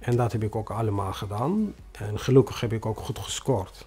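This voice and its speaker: The speaker has a non-native accent and ordinary pitch variation. The pace is fairly slow. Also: man. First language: not Dutch (speaking Dutch). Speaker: newcomer refugee, bus driver. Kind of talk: interview testimony. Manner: halting, many hesitations.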